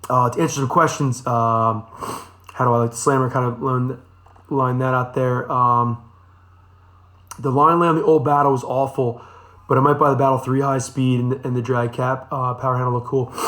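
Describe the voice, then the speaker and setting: A man talks at a moderate pace with long, frequent pauses, his bright, sharp tone held in a monotone, flat intonation. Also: medium pitch for a man. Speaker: fishing charter captain and tackle shop host. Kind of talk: live stream Q&A. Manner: casual, many fillers.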